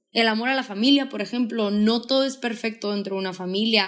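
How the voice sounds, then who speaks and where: Speaking at a moderate pace, a woman has an unremarkable speaking voice, fairly high in pitch with ordinary variation. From Mexico, Sonora (Hermosillo). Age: 20s. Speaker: podcaster and speaker. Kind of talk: casual chat.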